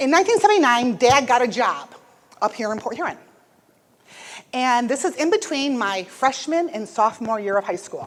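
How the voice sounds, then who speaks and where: With an Upper Midwest accent, a woman speaks in a high pitch with very wide pitch swings and an energetic tone. Long, frequent pauses break up her speech. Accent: Upper Midwest American. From US Midwest (Michigan). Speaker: motivational speaker. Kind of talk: motivational speech. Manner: fast, energetic.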